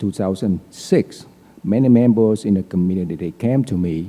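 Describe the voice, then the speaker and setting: A man's very deep, low voice in a dark, mellow tone, with a Vietnamese accent, ordinary pitch variation and a fairly slow pace. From Vietnam (Saigon), moved to US at 19. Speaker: politician. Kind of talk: candidate forum speech. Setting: auditorium with audience.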